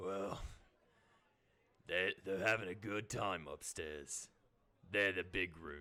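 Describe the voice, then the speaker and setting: A put-on character voice comes out raspy and fairly slow. Long pauses break it up often. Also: man, very deep, low pitch for a man. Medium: actual play. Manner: casual, plainspoken.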